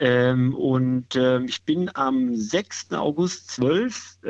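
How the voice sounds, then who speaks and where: A man speaks with a fairly high pitch and ordinary pitch variation. Noticeable background noise runs underneath. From Ruhr area, Dortmund. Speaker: caller, amateur runner. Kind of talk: casual chat. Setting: phone call.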